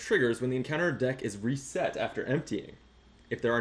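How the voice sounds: The text comes through in a natural reading voice.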